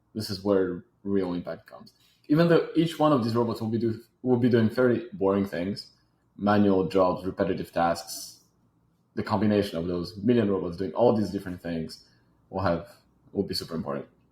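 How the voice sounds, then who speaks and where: In a very clean recording with a silent background, a man with a French accent talks at a fairly quick pace and a fairly low pitch with ordinary pitch variation. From Switzerland, Geneva. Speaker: robotics startup founder. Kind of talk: interview.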